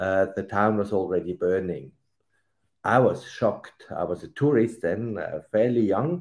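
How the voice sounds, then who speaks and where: A man talks fairly slowly in a dark, mellow tone, with a quiet background. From Switzerland. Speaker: retired diplomat and author. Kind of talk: award acceptance speech. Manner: hesitant with fillers. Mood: earnest, solemn. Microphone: webcam.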